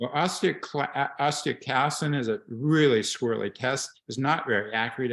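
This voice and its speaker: A man talks in an unremarkable speaking voice with ordinary pitch variation. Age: 60s. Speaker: bone health doctor. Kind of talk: expert Q&A on video call.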